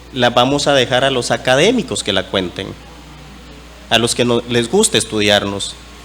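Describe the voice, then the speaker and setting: Noticeable background noise sits behind a man speaking in a medium pitch. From eastern Guatemala, Ch'orti' Maya territory. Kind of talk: conference talk. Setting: conference panel.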